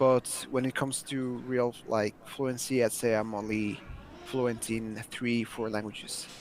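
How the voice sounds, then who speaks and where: Spoken at a fairly slow pace with a slight non-native accent, the voice stays monotone and flat. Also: man, medium pitch for a man. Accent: near-native English. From Mexico. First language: Spanish. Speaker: language learner. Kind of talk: interview.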